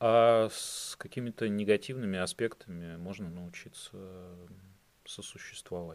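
In a very clean recording with a silent background, a man talks at a fairly slow pace with fairly even intonation in an ordinary speaking voice. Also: fairly low pitch for a man. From Russia, St Petersburg. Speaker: podcast guest, expat. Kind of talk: casual interview.

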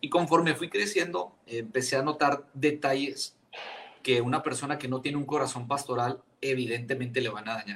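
A man with a normal speaking voice talks at a moderate pace in a fairly high pitch. His pitch variation is ordinary. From Chihuahua, Mexico. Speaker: pastor. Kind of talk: casual chat.

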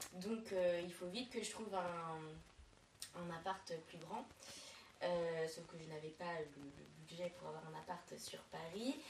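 In a room with audible echo, a woman with a fairly low voice speaks at a very slow pace, her loudness swinging widely. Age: 20s. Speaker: podcast co-host, flatmate. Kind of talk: casual chat.

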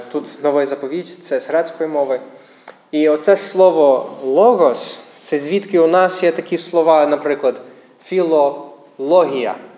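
With an English accent, a man speaks at a fairly slow pace and a fairly high pitch, using ordinary pitch variation against noticeable background noise. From United States. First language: English (speaking Ukrainian). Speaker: missionary pastor. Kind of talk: sermon. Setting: church. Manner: halting.

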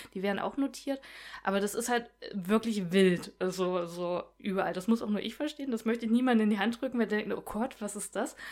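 A woman talks in a normal speaking voice at a fairly quick pace. Her pitch is fairly high, with ordinary variation. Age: 30s. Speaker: comic artist. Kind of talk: casual chat.

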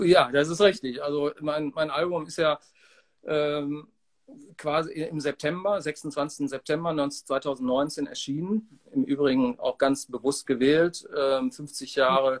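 A man's fairly high voice at a very slow pace, dry and close with no echo. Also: ordinary pitch variation. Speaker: musician. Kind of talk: interview.

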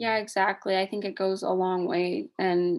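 Over a quiet background, a woman with a medium pitch and a Midwestern American accent speaks with fairly even intonation. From Indiana. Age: 20s. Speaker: podcast co-host. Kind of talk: casual chat.

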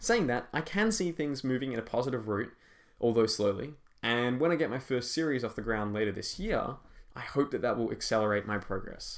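A man with an unremarkable speaking voice, medium pitch with ordinary variation, at a fairly quick pace. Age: 20s. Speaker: fantasy author and podcast host. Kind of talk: scripted reading of interview answers.

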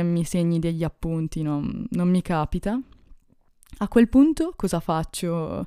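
Her voice fairly low and dark, mellow in tone, a woman speaks very slowly in a very clean recording with a silent background. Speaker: podcast host. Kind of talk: casual solo podcast monologue. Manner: calm, relaxing delivery.

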